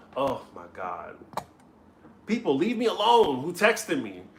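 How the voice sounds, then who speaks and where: A man with a slight New Orleans accent and very wide pitch swings, over noticeable background noise. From US South, New Orleans. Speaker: comedy vlogger. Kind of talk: live stream chat with viewers.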